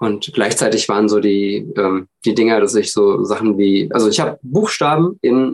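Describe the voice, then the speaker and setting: Here a man talks in a normal speaking voice at a fairly slow pace. His pitch shows ordinary variation. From Hesse, Germany (village near Frankfurt). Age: 30s. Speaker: podcast guest with dyslexia. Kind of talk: casual interview.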